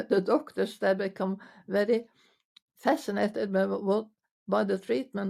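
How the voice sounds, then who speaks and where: A woman's medium-pitched, dark, mellow voice with vocal fry and lively intonation at a fairly slow pace. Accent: Norwegian. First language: Norwegian. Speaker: physiotherapist. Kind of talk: interview answer. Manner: hesitant.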